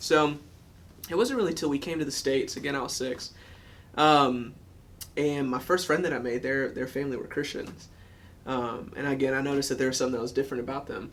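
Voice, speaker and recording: Talking at a very fast pace with long, frequent pauses, a man with a fairly high pitch keeps his intonation fairly even. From US South, Georgia. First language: German. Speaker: former college wrestler. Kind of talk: testimony. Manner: casual with many fillers.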